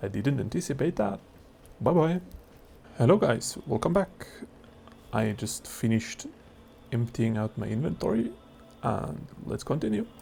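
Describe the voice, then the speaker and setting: A man with a medium-pitched voice and a non-native accent speaks with lively intonation and long, frequent pauses while music plays in the background. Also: moderate pace. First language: not English. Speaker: gaming youtuber. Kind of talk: casual gameplay commentary. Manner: hesitant, many fillers.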